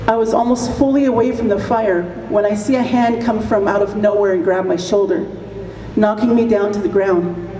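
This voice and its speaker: A woman talks at a moderate pace and medium pitch, with ordinary pitch variation and very even loudness. Noticeable background noise and audible room echo are present. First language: Apache. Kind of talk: commencement speech.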